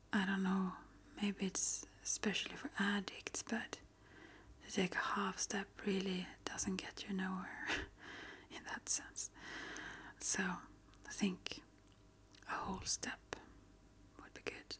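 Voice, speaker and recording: Whispered at a very slow pace, with long pauses coming often. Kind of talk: ASMR soft-spoken healing talk. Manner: soft-spoken.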